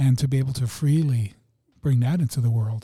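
This man has a medium pitch and a dark, mellow tone that is somewhat breathy, speaking at a moderate pace with ordinary pitch variation. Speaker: podcast co-host. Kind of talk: casual chat. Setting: studio.

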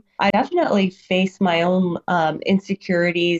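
At a fairly slow pace, a woman speaks in an unremarkable speaking voice with a fairly low pitch. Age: 40s. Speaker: retired Marine and amateur bodybuilder. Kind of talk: casual interview chat.

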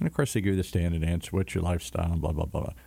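With an American accent, a man speaks in a dark, mellow tone on a very clean recording with a silent background. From US Midwest, big cities. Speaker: radio announcer. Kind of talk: casual radio talk show chat. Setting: community radio studio.

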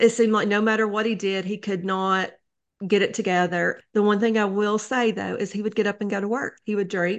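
A woman speaks at a moderate pace with flat, monotone intonation and a medium pitch, against a quiet background. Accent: Appalachian. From Eastern Kentucky, Letcher County. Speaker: memoir author. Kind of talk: interview.

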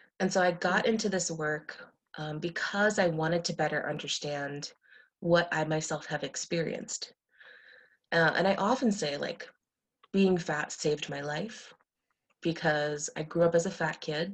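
Speaking at a moderate pace with an American accent, a woman uses an unremarkable speaking voice, fairly low in pitch with ordinary variation, against a quiet background. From United States, Indian American family. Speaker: sex therapist and clinical social worker. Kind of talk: podcast interview.

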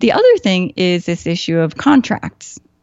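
A woman with an American accent and a plain, everyday voice, fairly low in pitch, at a moderate pace. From US Midwest, Chicago. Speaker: psychotherapist. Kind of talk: casual interview conversation.

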